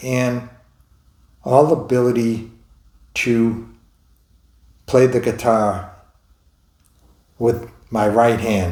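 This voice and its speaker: Speaking very slowly, a man uses an American accent and a medium pitch. His tone is dark and mellow, and audible room echo is present. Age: 70s. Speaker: stroke survivor vlogger. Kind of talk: personal testimony. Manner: halting.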